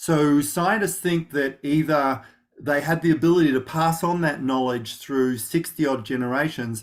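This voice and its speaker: With an Australian accent, a man talks at a moderate pace and a fairly high pitch with ordinary pitch variation. The recording is very clean, with a silent background. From Australia, rural Victoria (Gippsland). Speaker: knowledge management practitioner. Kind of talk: interview. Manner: many fillers and restarts.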